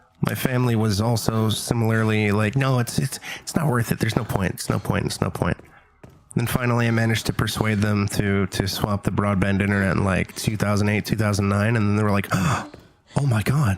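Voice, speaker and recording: Noticeable background noise behind a man's fairly low voice, fairly quick in pace, with fairly even intonation and very even loudness. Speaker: gaming streamer. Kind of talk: casual chat.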